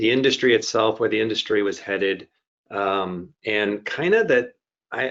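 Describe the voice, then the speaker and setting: In a plain, everyday voice, a man speaks at a moderate pace and medium pitch with ordinary pitch variation. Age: 60s. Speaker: healthcare IT executive. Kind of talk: interview.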